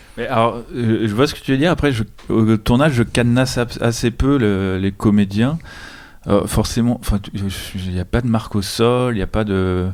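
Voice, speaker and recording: In an unremarkable speaking voice at medium pitch, a man talks at a moderate pace with ordinary pitch variation. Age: young. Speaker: film director. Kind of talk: casual chat.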